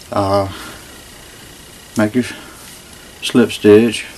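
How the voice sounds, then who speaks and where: A man speaks in a flat monotone at a fairly slow pace. Noticeable background noise can be heard. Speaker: crochet instructor. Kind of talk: tutorial instruction. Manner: stammering.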